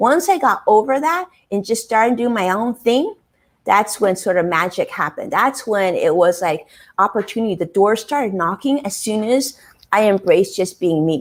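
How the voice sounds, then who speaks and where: Speaking with an American accent, a woman keeps a moderate pace, her fairly high voice moving with lively intonation. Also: very clean recording, silent background. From US West Coast, Los Angeles. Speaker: financial advisor and live streamer. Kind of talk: interview.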